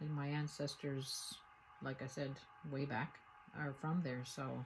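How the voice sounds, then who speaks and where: With a slight Newfoundland accent, a woman speaks in a very deep, low, somewhat breathy voice. Her pace is moderate and her intonation fairly even. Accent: slight Irish-sounding Newfoundland brogue. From Newfoundland, Canada. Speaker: potter. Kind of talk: tutorial. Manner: casual, conversational with hesitations.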